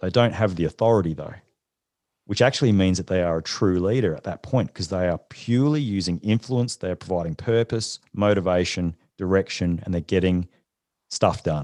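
In an Australian accent, a man with a very deep, low pitch and a dark, mellow tone speaks at a fairly quick pace with ordinary pitch variation. The sound is dry and close with no echo, and the background is quiet. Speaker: leadership consultant and former special forces soldier. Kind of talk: interview.

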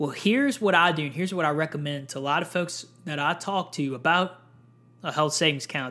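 A man's fairly high-pitched voice has a bright, sharp tone and ordinary pitch variation. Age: 20s. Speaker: podcast host on personal finance. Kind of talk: solo educational podcast monologue. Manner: casual, with frequent fillers.

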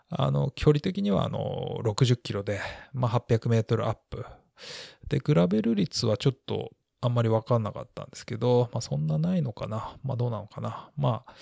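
A man's medium-pitched, somewhat breathy voice at a moderate pace, with lively intonation and big swings in loudness, in a dry, close recording with no echo, very clean and against a silent background. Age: 40s. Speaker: podcast host. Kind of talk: solo podcast monologue. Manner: many filler words.

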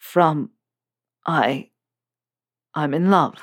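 Sounding raspy, the speaker uses a put-on character voice at a middle pitch.

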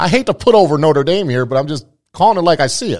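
Very fast and animated, the voice shows vocal fry and very wide pitch swings. The recording is very clean over a silent background. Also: man. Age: 40s. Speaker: sports podcast host. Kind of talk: casual chat.

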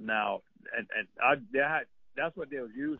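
A Cajun accent at a moderate pace. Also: man. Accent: Cajun Louisiana English. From Central Louisiana. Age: old. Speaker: duck call maker. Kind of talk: casual chat.

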